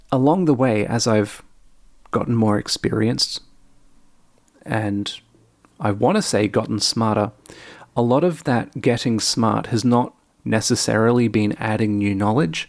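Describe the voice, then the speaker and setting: A man at medium pitch, fairly slow, with long, frequent pauses, ordinary pitch variation and very even loudness, on a very clean recording with a silent background. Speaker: programming tutorial creator. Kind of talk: casual monologue. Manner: conversational, stream of consciousness.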